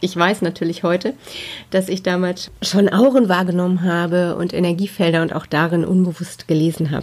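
Her pitch sits fairly low for a woman, and her intonation stays fairly even. She talks at a fairly quick pace. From Ruhr area, Germany. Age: 40s. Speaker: spiritual medium, podcast host. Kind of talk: personal storytelling monologue.

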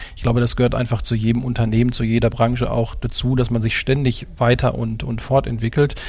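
Over noticeable background noise, a man with a medium-pitched voice talks at a fairly quick pace with hardly any pauses and monotone, flat intonation. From Ruhr area, Dortmund. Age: 40s. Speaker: car dealership executive. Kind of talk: interview. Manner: hesitant with many fillers.

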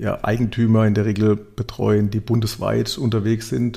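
In a dark, mellow tone, a man speaks at a fairly low pitch and a moderate pace. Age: 40s. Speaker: digitalization and sustainability manager. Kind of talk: podcast interview.

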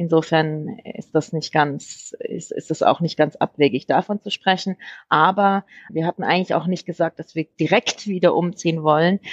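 A woman talks at a moderate pace with a fairly low pitch and fairly even intonation. The sound is dry and close, with no echo. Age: 40s. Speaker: homeowner. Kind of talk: interview. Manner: halting, many fillers.

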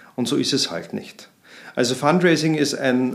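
With ordinary pitch variation, the man keeps his delivery at a moderate pace. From Austria, Vienna. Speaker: marketing consultant. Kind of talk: interview. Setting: in-person studio conversation.

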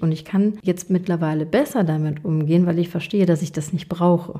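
In an ordinary speaking voice, a woman with a fairly low pitch talks at a moderate pace with fairly even intonation and hardly any pauses. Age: 30s. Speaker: podcast host and coach. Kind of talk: solo monologue.

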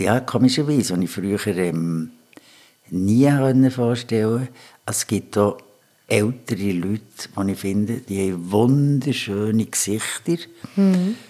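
With a dark, mellow tone and fairly low pitch, a man talks very slowly using lively intonation. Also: very clean recording, silent background. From Switzerland, Bern. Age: 60s. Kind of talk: casual interview. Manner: halting.

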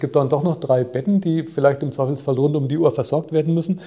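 A man with a slight Franconian accent speaks at a fairly quick pace, his fairly high-pitched voice carrying a dark, mellow tone that is somewhat breathy. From Franconia, Germany (Nuremberg). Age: 50s. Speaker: hospital group chief executive. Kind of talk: interview.

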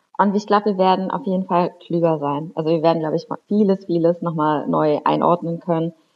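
A woman speaks at a fairly quick pace with hardly any pauses. Her intonation stays fairly even. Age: 30s. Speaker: member of parliament. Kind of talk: interview. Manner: hesitant, many fillers.

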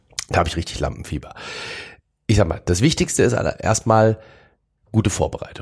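In a very clean recording with a silent background, a man speaks very fast and somewhat breathily with lively intonation, broken by long, frequent pauses. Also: medium pitch for a man. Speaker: mentalist. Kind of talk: casual interview.

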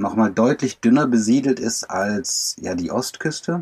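In a plain, everyday voice, a man talks at a fairly slow pace with medium pitch. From Germany. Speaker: van lifer and traveller. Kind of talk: casual interview. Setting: video call from inside a camper van.

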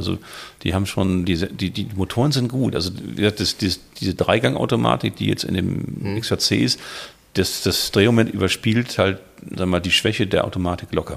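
Vocal fry runs through a man's fairly low voice. His intonation is lively. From Hamburg, northern Germany. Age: 50s. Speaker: classic car collector. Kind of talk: casual chat.

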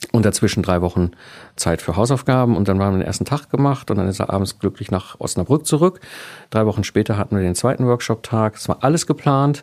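Very fast, lively speech from a man at a fairly low pitch, on a very clean recording with a silent background. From Ruhr area, Germany. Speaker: entrepreneur, systems engineer. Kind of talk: interview.

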